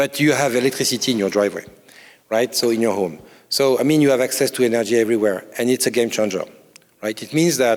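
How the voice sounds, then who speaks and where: Speaking at a very fast pace, a man with a French accent has a medium pitch and ordinary pitch variation. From France. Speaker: corporate incubator CEO. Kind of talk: conference panel interview. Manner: halting, many fillers and repetitions.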